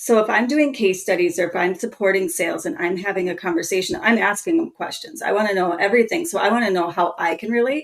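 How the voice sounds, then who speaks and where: Very fast, lively speech in a Minnesotan accent, with hardly any pauses. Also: woman, medium pitch for a woman. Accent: Minnesota. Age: 30s. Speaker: marketing strategist. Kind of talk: podcast interview.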